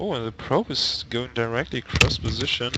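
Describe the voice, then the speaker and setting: A man speaks at a moderate pace with noticeable background noise. His pitch is medium and varies in an ordinary way. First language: German. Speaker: esports commentator. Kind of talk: live commentary.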